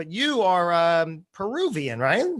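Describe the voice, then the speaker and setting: A voice in a New Jersey accent on a very clean recording with a silent background. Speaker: podcast host. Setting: live stream.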